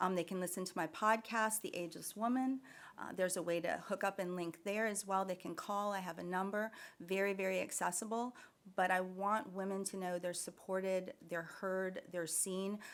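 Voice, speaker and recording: A woman with an ordinary speaking voice talks at a medium pitch with fairly even intonation. Her pace is moderate on a very clean recording with a silent background. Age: 60s. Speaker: nurse practitioner and wellness business owner. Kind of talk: podcast interview.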